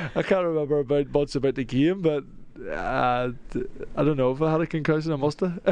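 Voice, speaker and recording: This man has a fairly high-pitched voice with ordinary pitch variation. He talks at a fairly quick pace. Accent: Northern Irish. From Northern Ireland. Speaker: soccer player. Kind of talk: radio interview. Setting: studio.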